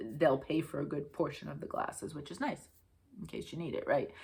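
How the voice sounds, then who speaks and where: A woman with a New England accent speaks with vocal fry. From Connecticut, US. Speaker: craft video host. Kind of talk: casual chat.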